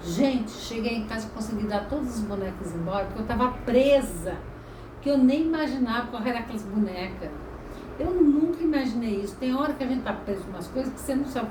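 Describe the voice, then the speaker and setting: Amid noticeable background noise and audible room echo, a woman with a high pitch speaks at a fairly quick pace with lively intonation. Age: 60s. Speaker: holistic therapist. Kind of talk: casual talk to camera. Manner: conversational, storytelling.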